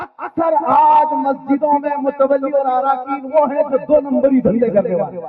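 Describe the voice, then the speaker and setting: A man speaks in a passionate tone. His pitch is extremely high. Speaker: Islamic scholar giving a sermon. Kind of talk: Islamic sermon (bayan) to a live audience. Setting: live public gathering. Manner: forceful, passionate, rhetorical.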